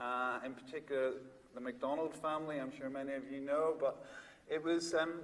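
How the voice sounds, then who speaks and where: A man's fairly high voice, monotone and flat, at a fairly quick pace with audible room echo. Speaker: psychiatrist and researcher. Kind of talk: conference talk. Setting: stage with audience. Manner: loud; hesitant, many fillers.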